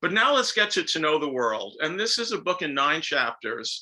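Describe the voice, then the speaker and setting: With a slight New York accent, a man speaks at a moderate pace in a fairly high voice with a bright, sharp tone. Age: 70s. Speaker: author and professor. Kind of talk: lecture. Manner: speeds up when excited.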